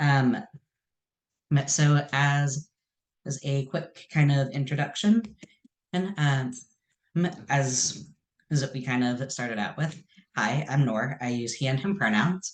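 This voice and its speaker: Speaking at a very slow pace, a man leaves long, frequent pauses. His fairly high voice is somewhat breathy. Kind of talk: presentation. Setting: video call.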